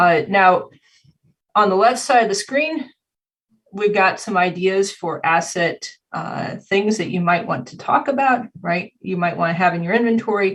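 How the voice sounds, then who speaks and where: A woman's voice, medium in pitch and somewhat breathy, moves at a moderate speed with ordinary pitch variation. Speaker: cybersecurity compliance consultant and instructor. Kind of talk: conference presentation. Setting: video call.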